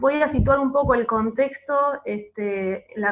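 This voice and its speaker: A woman's voice with fairly even intonation. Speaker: archivist. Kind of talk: panel presentation. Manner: hesitant, many filler words.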